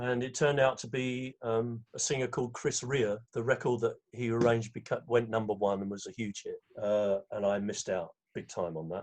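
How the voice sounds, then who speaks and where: A man with an English accent speaks at a medium pitch, with ordinary pitch variation. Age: 70s. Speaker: conductor and arranger. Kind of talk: interview.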